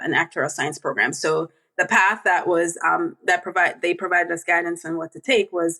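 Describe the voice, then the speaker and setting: A woman talks at a medium pitch and a moderate pace. Her tone is bright and sharp. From Jamaica. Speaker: actuary, association board member. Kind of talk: podcast interview.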